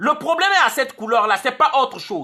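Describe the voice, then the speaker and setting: At a moderate pace, the voice is raised and projected, its pitch swinging very widely. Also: man. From Congo. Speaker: online activist vlogger. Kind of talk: video monologue. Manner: animated.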